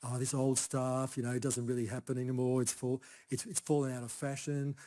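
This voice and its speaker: A man with an Australian accent, very fast, in a dark, mellow tone with monotone, flat intonation. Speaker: Chinese herbal medicine practitioner. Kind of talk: conference talk. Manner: soft-spoken; casual, halting.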